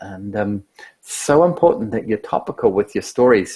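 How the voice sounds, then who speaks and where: With very wide pitch swings, a man talks in a somewhat breathy, medium-pitched voice, recorded dry and close with no echo. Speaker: social media trainer. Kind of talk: webinar presentation. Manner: fast.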